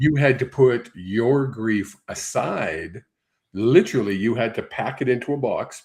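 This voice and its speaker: A man with a medium pitch speaks at a fairly slow pace, sounding somewhat breathy, with ordinary pitch variation. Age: 60s. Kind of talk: psychic reading on live stream. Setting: live stream broadcast.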